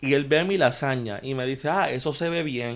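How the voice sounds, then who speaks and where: Fairly high in pitch, a man speaks slowly in an ordinary speaking voice. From Puerto Rico, Guaynabo. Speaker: podcast co-host. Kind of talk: casual chat.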